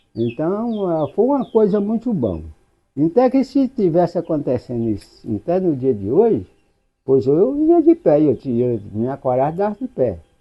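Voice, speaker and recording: A man talks at a fairly slow pace with a high pitch. His voice has very wide pitch swings. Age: 70s. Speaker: elderly local resident. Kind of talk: oral history testimony. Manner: halting.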